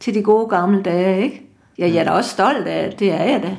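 This is a woman speaking. Her voice carries vocal fry. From Djursland, Denmark. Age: 70s. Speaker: retired slogan competition winner. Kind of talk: casual interview.

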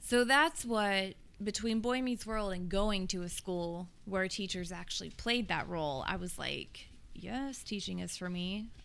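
There's audible room echo as a woman with an American accent speaks at a fairly slow pace, medium in pitch with ordinary pitch variation. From US South, Tennessee (Nolensville, Williamson County). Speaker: English teacher. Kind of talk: casual chat.

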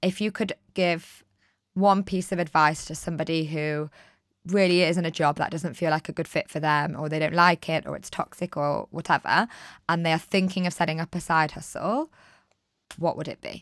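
A woman with a plain, everyday voice speaks at a moderate pace with a fairly low pitch and fairly even intonation, in a very clean recording with a silent background and a dry, close sound with no echo. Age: 30s. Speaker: life coach and podcast host. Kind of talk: casual interview chat.

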